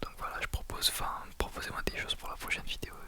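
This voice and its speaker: A man is whispering at a fairly quick pace. Noticeable background noise runs behind him. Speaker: ASMR creator. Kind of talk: ASMR whisper talk to viewers. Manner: whispered.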